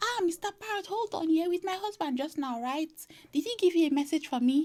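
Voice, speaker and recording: A squeaky put-on character voice comes through. It moves at a fairly quick pace. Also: woman, extremely high pitch for a woman. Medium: read story.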